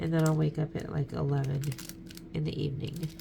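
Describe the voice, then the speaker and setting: Soft-spoken, a woman talks at a fairly quick pace. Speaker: craft YouTuber. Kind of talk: casual chat.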